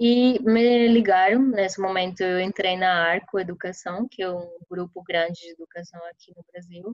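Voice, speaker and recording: A woman with a Spanish accent, medium pitch, fairly even intonation and a moderate pace. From Colombia, Caribbean coast (Santa Marta). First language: Spanish (speaking Portuguese). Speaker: product manager. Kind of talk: interview.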